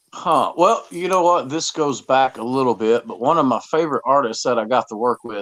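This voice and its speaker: A man's medium-pitched voice with lively intonation, dry and close with no echo. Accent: Southern US. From US South. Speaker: musician. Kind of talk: podcast interview. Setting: studio. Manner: halting, repetitive.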